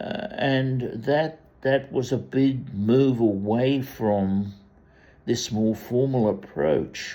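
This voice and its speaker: Speech comes at a very slow pace. Its intonation is lively. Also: man, medium pitch for a man. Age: 80s+. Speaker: commentator. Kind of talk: monologue. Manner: halting.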